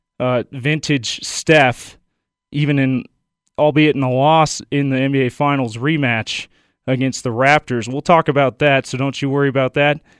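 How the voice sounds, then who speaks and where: A man with an unremarkable speaking voice, pitched fairly high, talks at a moderate pace. The recording is very clean with a silent background, and the sound is dry and close with no echo. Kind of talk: radio sports patter. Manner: brisk, upbeat station-promo delivery.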